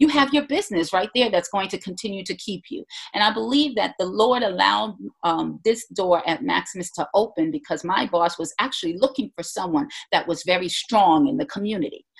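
A woman at a fairly quick pace, medium in pitch, with very wide pitch swings and vocal fry. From Jamaica. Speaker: minister and business consultant. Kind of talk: interview conversation.

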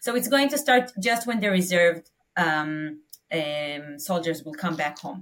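With an Israeli accent, a woman speaks fairly slowly in a fairly low voice that has very wide pitch swings. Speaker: nonprofit leader. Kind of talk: interview answers. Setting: remote call.

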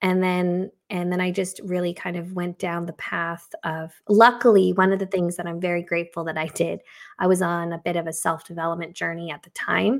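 A woman's fairly low, flat, monotone voice at a fairly quick pace, on a very clean recording with a silent background. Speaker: creative consultant and graphic recorder. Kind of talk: casual interview chat.

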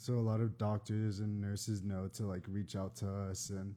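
Fairly low in pitch with a dark, mellow tone, a man talks with an American accent. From Texas, San Antonio. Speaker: mental health recruiter and fashion blogger. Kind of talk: casual chat. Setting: live Instagram stream.

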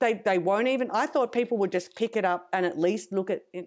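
A woman with an Australian accent, medium pitch and a fairly quick pace. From Australia (rural New South Wales, Griffith). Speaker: composer and music educator. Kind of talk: interview conversation. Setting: remote online interview.

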